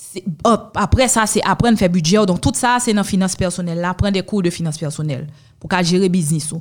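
A woman with a medium-pitched, somewhat breathy voice speaks at a fairly quick pace. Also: ordinary pitch variation. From Haiti. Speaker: lawyer and entrepreneur. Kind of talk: interview.

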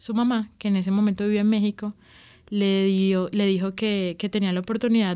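The voice has a dark, mellow tone and a monotone, flat intonation at a moderate pace. The recording is very clean, with a silent background. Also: woman. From Colombian Caribbean coast, Barranquilla. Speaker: journalism student telling her love story. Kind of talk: personal testimony interview. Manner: halting, with repetitions and fillers.

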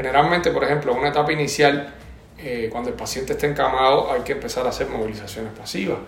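Amid noticeable background noise and audible room echo, a man talks with a slight Cuban accent. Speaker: physical therapy lecturer. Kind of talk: interview. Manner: halting.

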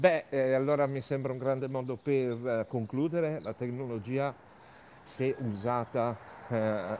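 Noticeable background noise runs under this man's voice. He talks at a fairly slow pace with medium pitch and ordinary pitch variation. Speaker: podcast host. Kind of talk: interview. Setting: outdoors, walking in the street.

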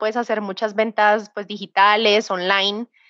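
A woman speaks at a moderate pace with a Bogotá accent. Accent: Bogotá Colombian Spanish. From Colombia, Bogotá. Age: 30s. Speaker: tech sales professional. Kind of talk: interview. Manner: halting.

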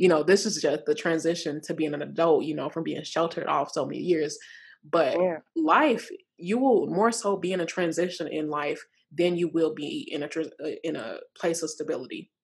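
A woman with an unremarkable speaking voice talks at a moderate pace and fairly low pitch, with ordinary pitch variation. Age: 20s. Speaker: podcast host. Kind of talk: casual chat.

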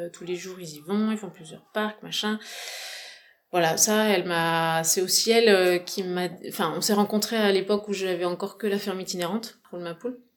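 With a medium pitch and fairly even intonation, a woman talks at a moderate pace with big swings in loudness. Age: 40s. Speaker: farmer. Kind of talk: interview. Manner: halting.

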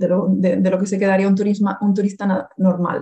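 The woman's voice has a dark, mellow tone and is somewhat breathy. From Canary Islands, Las Palmas de Gran Canaria. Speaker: Spanish teacher. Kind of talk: casual interview conversation.

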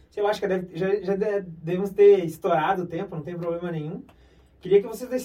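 Here a man is speaking. His voice sits at a high pitch. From interior of Brazil. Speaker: podcast host on health topics. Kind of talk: interview.

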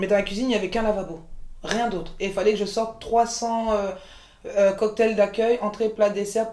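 The woman speaks in a flat monotone. Her pitch is medium. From France, Paris region (Montreuil), born in Côte d'Ivoire. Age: 40s. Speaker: chef and caterer, entrepreneur. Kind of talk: interview, casual chat.

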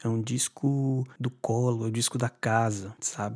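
At a fairly slow pace, a man with an ordinary speaking voice talks with fairly even intonation in a dry, close sound with no echo. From Brazil, Bahia (Salvador). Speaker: singer-songwriter. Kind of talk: interview.

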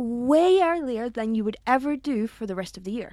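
A woman with a Scottish accent speaks at a high pitch with lively intonation. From Scotland. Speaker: podcast co-host. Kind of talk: casual chat. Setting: studio.

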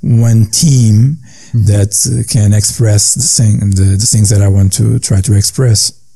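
Medium in pitch with ordinary pitch variation, a man speaks with a Portuguese accent. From Portugal, coastal fishing town. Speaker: jazz pianist and composer. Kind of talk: interview. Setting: remote call. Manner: halting, with many repetitions.

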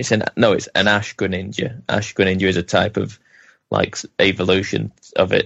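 At a moderate pace, an unremarkable speaking voice holds fairly even intonation. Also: man, fairly low pitch for a man. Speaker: podcast co-host. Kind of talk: casual chat.

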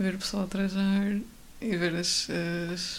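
This woman speaks at a medium pitch with a monotone, flat intonation. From Portugal, Coimbra. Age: 20s. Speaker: architecture student. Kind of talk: casual chat.

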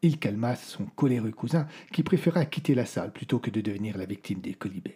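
This man has a medium-pitched, somewhat breathy voice with a dark, mellow tone. He talks at a moderate pace. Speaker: storyteller narrator of audio fiction. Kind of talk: scripted dramatic narration of a medieval horror tale. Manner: changes tone to voice the characters: the old troubadour's prophecy, then the lord's rage.

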